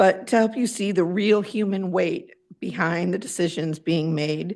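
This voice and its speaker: With vocal fry, a woman speaks at a fairly low pitch and a moderate pace. Her pitch varies in an ordinary way over a quiet background. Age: 60s. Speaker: parent speaking at public comment. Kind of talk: prepared public comment. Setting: public board meeting.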